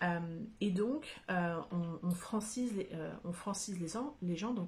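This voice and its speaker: Somewhat breathy, a woman talks at a fairly slow pace with a medium pitch and ordinary pitch variation. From France. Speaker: YouTuber reviewing a book. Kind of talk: casual vlog monologue. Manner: hesitant, many fillers.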